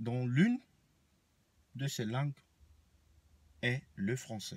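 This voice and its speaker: Speaking at a very slow pace, a man has a somewhat breathy voice at medium pitch. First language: Banen (speaking French). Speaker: vlogger. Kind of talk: rant to camera. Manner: animated.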